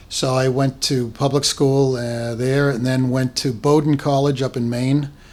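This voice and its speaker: A man talks at a fairly slow pace with a slight Boston accent. His intonation is monotone and flat. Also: medium pitch for a man. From Boston, Massachusetts (West Roxbury). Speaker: school founder and charity finance officer. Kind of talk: interview. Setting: podcast recording.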